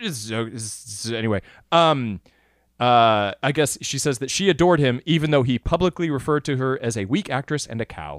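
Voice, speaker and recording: On a very clean recording with a silent background, a plain, everyday voice speaks at a moderate pace. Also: man, medium pitch for a man, lively intonation, dry, close sound with no echo. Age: 20s. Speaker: film podcast host and theatre director. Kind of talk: casual chat.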